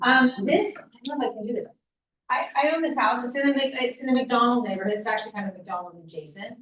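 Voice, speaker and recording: A woman talks loudly in a high pitch, her intonation lively. Her tone is bright and sharp. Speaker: housing advocacy leader, lawyer. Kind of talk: public presentation at event.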